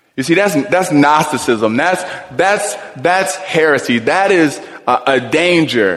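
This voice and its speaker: Over noticeable background noise and audible room echo, a man speaks at a fairly slow pace with lively intonation. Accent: American. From US Midwest, Cleveland. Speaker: pastor. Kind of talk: sermon. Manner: animated.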